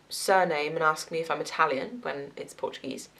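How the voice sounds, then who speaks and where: A woman speaks at a moderate pace as noticeable background noise plays behind her. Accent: slight Southwest English. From southwest England, Gloucester. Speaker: nursing student vlogger. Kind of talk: casual vlog. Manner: chatty, filler-heavy.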